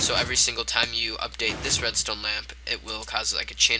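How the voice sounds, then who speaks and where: Fairly quick speech runs over noticeable background noise. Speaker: gaming video creator. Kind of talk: tutorial. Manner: halting, stumbling over words.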